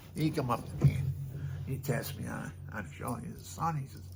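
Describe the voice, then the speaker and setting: A soft-spoken man with a dark, mellow tone and vocal fry talks at a moderate pace in a medium pitch, his voice swinging very widely up and down. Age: 70s. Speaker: storyteller and musician vlogger. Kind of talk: casual monologue to camera. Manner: rambling, conversational.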